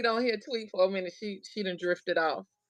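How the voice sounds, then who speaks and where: A woman is speaking. She keeps a moderate pace. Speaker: craft livestream host. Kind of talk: casual livestream chat. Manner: loud.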